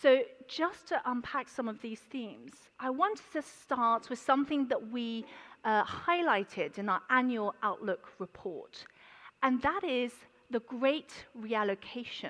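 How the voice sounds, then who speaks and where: With a London accent, a woman speaks fairly slowly in a high pitch, her intonation lively. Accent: London accent (self-described). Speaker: banker, conference speaker. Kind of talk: conference presentation. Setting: conference stage with audience. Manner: hesitant, many fillers.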